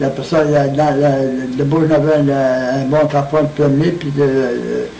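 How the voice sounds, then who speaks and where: A man's fairly high voice, flat and monotone, at a fairly slow pace, with audible room echo and noticeable background noise. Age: 80s+. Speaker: centenarian interviewee. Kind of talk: oral history interview. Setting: birthday party. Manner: halting.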